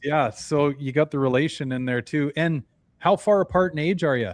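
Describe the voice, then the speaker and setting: A man with a plain, everyday voice talks quickly enough to count as fairly quick, in a fairly high pitch with ordinary pitch variation. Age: 40s. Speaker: podcast host. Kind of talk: casual chat.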